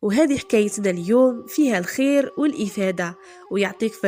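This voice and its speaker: A woman with an Algerian accent speaks at a fairly high pitch, her voice swinging very widely up and down over noticeable background noise. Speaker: storyteller. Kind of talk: folk tale storytelling.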